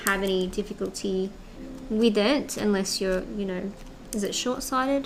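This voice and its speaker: A woman speaks at a fairly slow pace with fairly even intonation, and audible room echo surrounds her voice. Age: 30s. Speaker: craft live streamer. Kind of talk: casual chat. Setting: studio.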